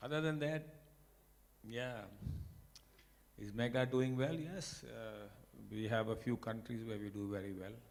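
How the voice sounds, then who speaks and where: Over audible room echo, a man of medium pitch speaks at a fairly slow pace with ordinary pitch variation and long, frequent pauses. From India. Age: 60s. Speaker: company executive. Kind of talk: speech. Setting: award ceremony with audience. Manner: unscripted, conversational.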